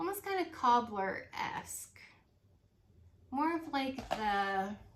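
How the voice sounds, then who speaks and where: A woman at a high pitch, very slow in pace, with very wide pitch swings and noticeable background noise. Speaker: independent home fragrance consultant. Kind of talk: casual product review vlog. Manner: hesitant, many fillers.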